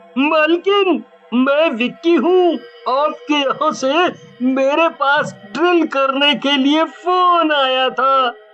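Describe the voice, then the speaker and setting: A cartoonish character voice is put on. It moves at a very slow pace. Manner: laughs gleefully and mockingly.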